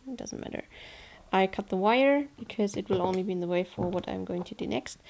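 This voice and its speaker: A woman with a German accent talks in a dark, mellow tone with ordinary pitch variation. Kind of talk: tutorial narration. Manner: casual, hesitant.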